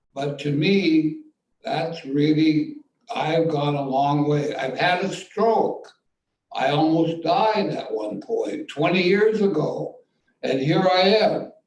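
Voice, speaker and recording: Heard with audible room echo, a man with an American accent talks at a very slow pace in a high pitch with ordinary pitch variation. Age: 80s+. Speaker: playwright. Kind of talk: post-show Q&A.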